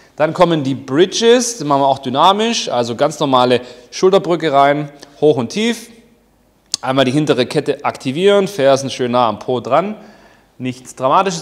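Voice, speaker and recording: Moderate pace from a man, with a quiet background. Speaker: fitness coach. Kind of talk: tutorial. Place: gym. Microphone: lapel.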